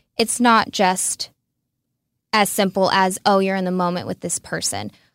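With ordinary pitch variation and a medium pitch, a woman talks at a moderate speed. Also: dry, close sound with no echo. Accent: Texas. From Texas, Red Oak near Dallas. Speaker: reality TV contestant. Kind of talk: interview.

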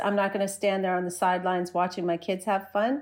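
A woman with a New Jersey accent is heard in a very clean recording with a silent background. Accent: American, New Jersey. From US Northeast, New Jersey. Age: 40s. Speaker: skateboarder and social media creator. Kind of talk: podcast interview.

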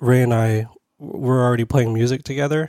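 A man speaks with a Californian accent and a dark, mellow tone. His intonation stays fairly even. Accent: Californian American. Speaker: punk musician. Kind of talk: casual chat. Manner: monotone.

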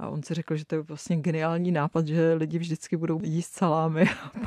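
A woman's very deep, low voice at a moderate pace with fairly even intonation, dry and close with no echo, over a quiet background. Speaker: economic journalist. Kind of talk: interview.

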